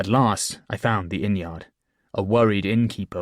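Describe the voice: The background stays quiet. A plain reading aloud unfolds with fairly even intonation.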